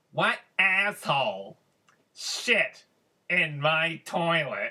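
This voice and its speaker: Shouting in a put-on character voice at a middle pitch, the speaker goes at a very slow pace. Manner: yelling.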